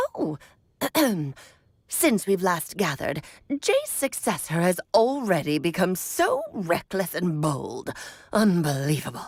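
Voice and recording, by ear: Using a put-on character voice at a medium pitch, a woman moves at a fairly slow pace with long, frequent pauses.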